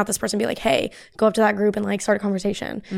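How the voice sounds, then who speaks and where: A woman with an American accent talks at a medium pitch in a monotone, flat delivery. The recording is very clean, with a silent background. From US, grew up bicoastal. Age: 20s. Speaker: community founder, content creator. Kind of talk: casual chat.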